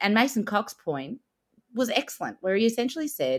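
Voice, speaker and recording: This woman has an Australian accent and very wide pitch swings. She keeps a moderate pace. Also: very clean recording, silent background. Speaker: podcast co-host. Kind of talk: casual chat.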